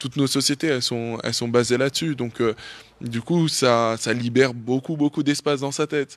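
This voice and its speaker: A man at a medium pitch and moderate pace, with fairly even intonation, in a dry, close sound with no echo on a very clean recording with a silent background. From France, Paris. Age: 30s. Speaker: dancer and author. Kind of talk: interview. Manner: casual, halting with many fillers.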